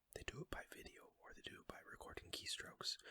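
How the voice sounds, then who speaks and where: Someone is whispering. The pace is moderate. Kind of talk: audiobook reading. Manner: whispered.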